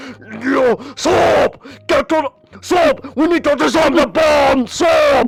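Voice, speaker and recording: Over music in the background, a man does a gruff, put-on character voice at an extremely high pitch and a very slow pace. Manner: urgent, shouting.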